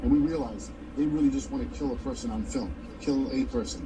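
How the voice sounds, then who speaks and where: There is noticeable background noise behind a man's speech. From New York City (Brooklyn); New York City. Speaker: filmmaker; guest. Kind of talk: TV interview. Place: home room.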